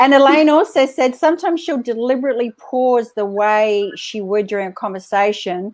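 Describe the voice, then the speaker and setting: A woman with an American accent talks at a moderate pace. Her pitch is fairly high, with ordinary pitch variation. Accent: Australian, fading toward American. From Australia. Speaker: live show host. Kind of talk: live interview chat. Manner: animated.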